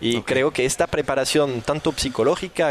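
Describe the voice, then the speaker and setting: A man speaks with a French accent at a moderate pace. There is noticeable background noise. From southern France. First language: French (speaking Spanish). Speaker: firefighter and entrepreneur. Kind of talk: interview. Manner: animated.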